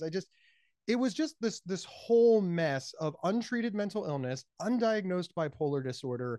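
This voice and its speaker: An animated tone with an American accent at a moderate pace, against a quiet background. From Ohio. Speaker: speaker, author and mental health advocate. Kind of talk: casual interview chat. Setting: phone or remote call. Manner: high-energy, loud, animated.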